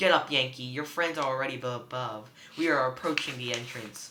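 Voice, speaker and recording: A man's put-on character voice, gravelly, medium in pitch, at a fairly quick pace. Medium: read story. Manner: gruff.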